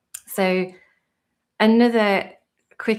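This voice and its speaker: A woman with a British accent speaks in a monotone, flat intonation over a quiet background. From UK. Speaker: tutorial creator and virtual assistant; virtual assistant host. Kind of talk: live stream tutorial chat. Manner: hesitant, many fillers. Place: home room.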